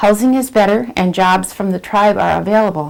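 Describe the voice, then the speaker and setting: A woman speaks at a medium pitch in an ordinary speaking voice. Her pace is moderate. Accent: American. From Wisconsin, Oneida reservation near Green Bay. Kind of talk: oral history interview, reading prepared answers.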